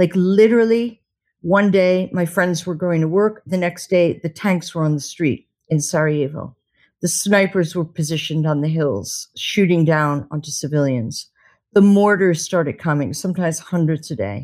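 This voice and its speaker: In a very clean recording with a silent background, a woman with an American accent uses a plain, everyday voice at fairly low pitch, with ordinary pitch variation and a moderate pace. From United States. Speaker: war correspondent. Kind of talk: interview.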